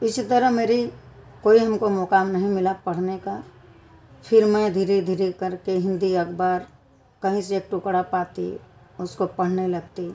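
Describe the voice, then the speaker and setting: Her intonation fairly even, a woman talks at a medium pitch. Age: 60s. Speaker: vlogger, grandmother. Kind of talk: personal vlog monologue. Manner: halting.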